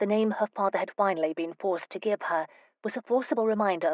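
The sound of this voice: The speaker's pitch varies in an ordinary way. An unforced reading voice carries the clip.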